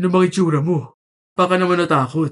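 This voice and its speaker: A man puts on a character voice pitched high. He talks at a fairly quick pace with fairly even intonation. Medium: read story. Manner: crude, laughing banter.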